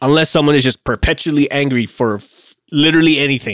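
A man speaks in an ordinary speaking voice at medium pitch, with ordinary pitch variation. The sound is dry and close, with no echo. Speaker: podcast co-host, aircraft maintenance. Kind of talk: casual chat podcast discussion.

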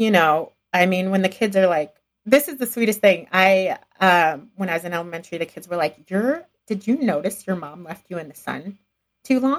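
A woman speaks in a plain, everyday voice at medium pitch, with an American accent and ordinary pitch variation. Her pace is moderate, and her loudness swings widely. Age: 40s. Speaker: entrepreneur and podcaster. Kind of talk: interview conversation.

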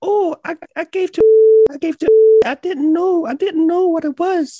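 A put-on character voice, squeaky and extremely high in pitch, with a non-native accent as part of the act. It moves at a very slow pace. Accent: foreign.

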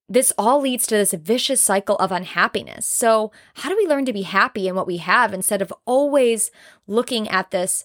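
An animated woman at a medium pitch with ordinary pitch variation, in a very clean, dry, close recording with no echo and a silent background. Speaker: podcast host. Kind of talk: solo podcast monologue, motivational talk. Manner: fast talker, loud, animated; excitable, jumps between topics, cuts people off.

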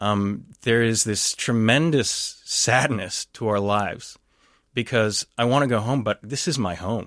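Speaking with an American accent, a man uses an ordinary speaking voice at medium pitch, with ordinary pitch variation. His pace is fairly slow, and the recording is very clean with a silent background. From Texas. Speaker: anthropologist and professor. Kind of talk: radio interview, analysis.

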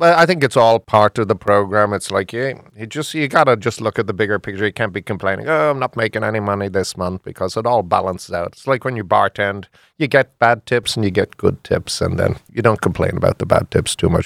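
Very fast speech in an Irish accent with ordinary pitch variation, in a very clean recording with a silent background. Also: man, fairly low pitch for a man, hardly any pauses, dry, close sound with no echo. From Ireland. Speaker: bar owner. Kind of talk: radio interview.

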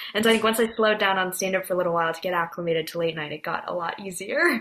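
A woman with an American accent speaks at a very fast pace with ordinary pitch variation. Noticeable background noise can be heard. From US West Coast, San Francisco Bay Area. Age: 20s. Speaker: comedy writer and performer. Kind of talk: casual interview.

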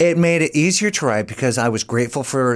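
A man with an American accent speaks in a normal speaking voice at a fairly quick pace with lively intonation. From US Midwest. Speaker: comedian and actor. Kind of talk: casual chat. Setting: studio.

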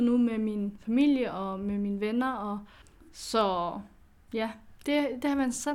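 Fairly even intonation in a fairly high female voice. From Aarhus, Denmark. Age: 20s. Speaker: adoptee. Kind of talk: casual chat.

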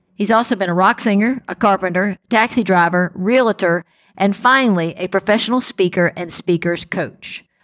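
A woman talks at a moderate pace and medium pitch, with ordinary pitch variation, in an ordinary speaking voice. The recording is very clean with a silent background and a dry, close sound with no echo. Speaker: podcast host. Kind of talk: interview conversation.

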